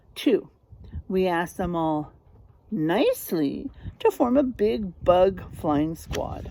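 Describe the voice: Using a put-on character voice, a woman speaks slowly at a fairly low pitch with big pitch swings, a dark, mellow tone and vocal fry.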